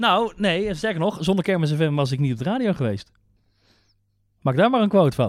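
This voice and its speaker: A high-pitched man at a moderate pace, with very wide pitch swings and long, frequent pauses, on a very clean recording with a silent background. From Netherlands, North Brabant ('s-Hertogenbosch). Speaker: radio and TV maker. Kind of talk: casual chat.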